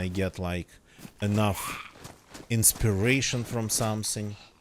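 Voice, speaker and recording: A man's fairly low-pitched voice with a non-native accent. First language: not English. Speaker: gaming streamer. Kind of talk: casual live stream chat. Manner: hesitant, many fillers.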